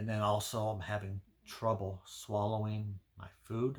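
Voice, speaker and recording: On a very clean recording with a silent background, a man speaks fairly slowly in a fairly low, somewhat breathy voice with monotone, flat intonation. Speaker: health vlogger. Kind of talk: personal health vlog. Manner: halting, repeats words.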